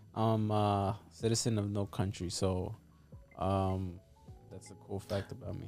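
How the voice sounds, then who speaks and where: Music plays in the background as a man speaks at a fairly low pitch. His pace is fairly slow and his intonation monotone and flat. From Mexico. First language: Spanish. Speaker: realtor and real estate investor. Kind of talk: casual podcast interview.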